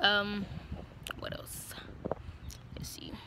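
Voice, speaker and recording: A woman's bright, sharp voice comes through dry with no echo, amid noticeable background noise. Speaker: vlogger giving military training advice. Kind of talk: casual vlog chat. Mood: relaxed, frank, joking. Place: street. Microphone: phone near.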